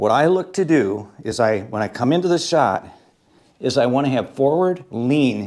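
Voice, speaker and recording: Lively intonation in an unremarkable speaking voice, moderate in speed. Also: man, medium pitch for a man. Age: 60s. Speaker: pool instructor. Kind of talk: tutorial. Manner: casual, conversational.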